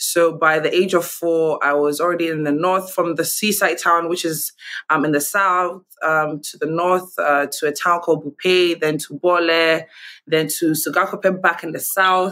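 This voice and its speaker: A woman with a Ghanaian accent speaks at a moderate pace in a fairly low, monotone, flat voice with a bright, sharp tone. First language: Gonja. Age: young. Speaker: TV host and entrepreneur. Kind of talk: interview. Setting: video call.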